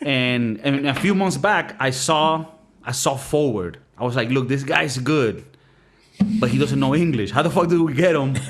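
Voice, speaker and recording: With music in the background and audible room echo, a man speaks at a moderate pace. His pitch is fairly high, with ordinary pitch variation and very even loudness. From Miami, Florida. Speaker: podcast host. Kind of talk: casual comedic chat.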